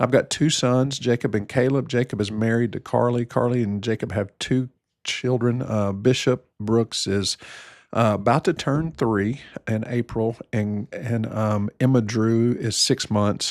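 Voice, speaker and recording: A man with an American accent and a normal speaking voice, medium in pitch, fairly slow and fairly even in intonation, in a very clean recording with a silent background and a dry, close sound with no echo. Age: 60s. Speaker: family physician. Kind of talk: casual chat.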